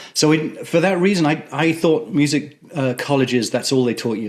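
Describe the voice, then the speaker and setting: A man with an English accent speaks with ordinary pitch variation. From England. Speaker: theatre music director. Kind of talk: interview. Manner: halting, many fillers.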